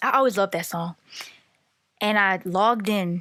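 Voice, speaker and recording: A woman speaks loudly in a bright, sharp tone. Her delivery is animated. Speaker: podcaster. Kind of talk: casual monologue.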